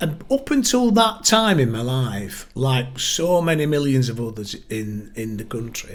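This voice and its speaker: A man speaks with a northern English accent at a fairly slow pace. His pitch swings very widely. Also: medium pitch for a man, hardly any pauses. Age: 60s. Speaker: local party chair. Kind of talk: podcast interview.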